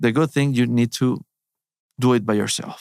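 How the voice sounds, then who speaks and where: A man speaks with fairly even intonation. The sound is dry and close, with no echo. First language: Spanish. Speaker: surgeon, gut health doctor. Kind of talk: interview conversation. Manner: halting.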